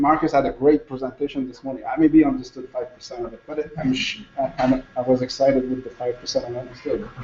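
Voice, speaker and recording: Very fast, hardly pausing male speech in a Quebec accent, fairly high in pitch with fairly even intonation and big swings in loudness, over noticeable background noise. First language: French. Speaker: conference speaker, former hospital logistics manager. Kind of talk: conference presentation. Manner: halting, many repetitions.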